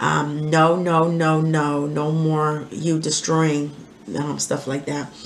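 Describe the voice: With little pitch movement, a woman speaks slowly at a low pitch amid audible room echo.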